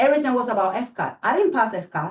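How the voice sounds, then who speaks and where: A woman talks with a Spanish accent. Her pace is very fast. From Cuba. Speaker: school board candidate. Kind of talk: candidate interview.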